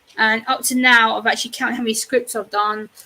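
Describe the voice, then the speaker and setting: A woman with an English accent talks at a fairly quick pace. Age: 30s. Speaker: YouTuber. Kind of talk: casual chat.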